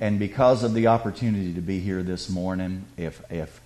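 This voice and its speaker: A man talks fairly quickly in a very deep, low voice. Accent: Southern US. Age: 50s. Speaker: guest speaker. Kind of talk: testimony. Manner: animated.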